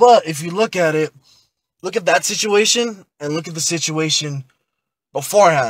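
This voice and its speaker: Speaking at a moderate pace with long, frequent pauses, a man with a high voice uses lively intonation and big swings in loudness, recorded dry and close with no echo. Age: 20s. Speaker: podcast guest, protester. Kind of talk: casual podcast discussion.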